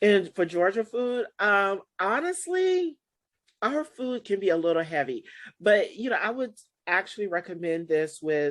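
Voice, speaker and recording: A woman speaks in a Southern accent at a medium pitch. Her pitch swings very widely, and her pace is fairly slow. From US South, South Carolina. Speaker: wine importer and show host. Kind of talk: casual chat.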